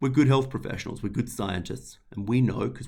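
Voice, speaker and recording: A man speaks in an Australian accent with lively intonation. His voice carries vocal fry. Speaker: health service climate leader. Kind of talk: webinar presentation.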